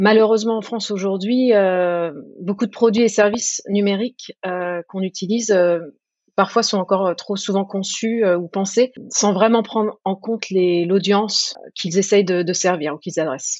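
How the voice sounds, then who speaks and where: A woman talks fairly slowly in a plain, everyday voice at a medium pitch. Her intonation stays fairly even. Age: 30s. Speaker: government design team lead. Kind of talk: interview.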